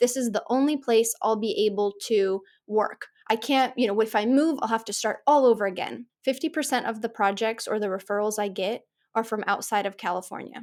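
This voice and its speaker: A woman with an American accent uses a normal speaking voice, fairly high in pitch with ordinary pitch variation. She speaks at a fairly quick pace on a very clean recording against a silent background. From United States. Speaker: podcast host, architect. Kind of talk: interview conversation.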